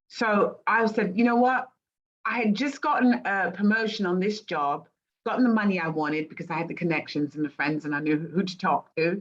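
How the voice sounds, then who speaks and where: A woman speaks with an English accent at a fairly quick pace. Her pitch is medium. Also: lively intonation. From England. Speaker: life coach. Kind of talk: casual chat.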